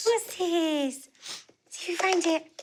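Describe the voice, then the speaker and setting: A woman's put-on character voice, squeaky and extremely high in pitch, playful in tone, with ordinary pitch variation. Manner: playful, encouraging.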